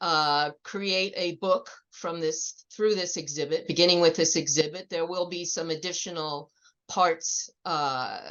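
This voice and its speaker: A woman's fairly low voice at a fairly slow pace, with fairly even intonation. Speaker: conference presenter. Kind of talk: conference presentation. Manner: loud.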